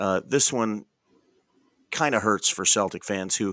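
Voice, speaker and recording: Against a silent background in a very clean recording, a man with an American accent speaks in a bright, sharp tone at a fairly low pitch with ordinary pitch variation. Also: dry, close sound with no echo. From Boston. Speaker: sports podcast host. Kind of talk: casual sports talk. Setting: hotel room. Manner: quiet, kept down; smooth, mellow.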